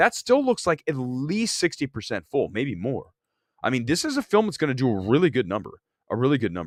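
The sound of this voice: Using a hoarse put-on character voice at medium pitch, a man talks fairly quickly with very wide pitch swings.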